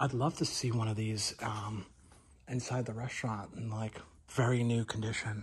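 A man with fairly even intonation at a moderate pace. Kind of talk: casual vlog chat. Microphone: phone near.

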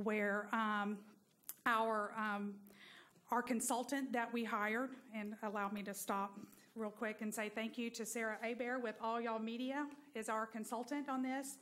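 A woman speaks at a moderate pace. Her intonation stays monotone and flat. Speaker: presenter. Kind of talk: public presentation to council. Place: hall. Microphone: podium.

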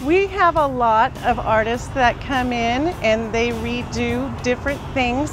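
Music plays in the background as a woman with a high pitch talks at a fairly slow pace, the sound dry with no echo. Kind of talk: interview answer. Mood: friendly, smiling. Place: shop. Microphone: lapel.

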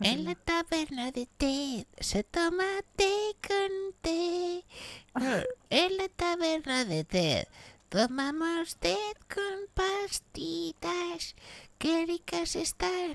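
The speaker's extremely high voice moves at a very slow pace. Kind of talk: comic overacting. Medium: game stream. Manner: erratic, bombastic, rambling, sudden outbursts.

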